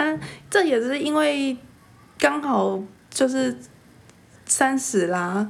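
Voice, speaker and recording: Her high-pitched voice swings very widely in pitch as the woman talks at a very slow pace with long, frequent pauses. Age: 30s. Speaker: podcast co-host. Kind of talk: casual chat.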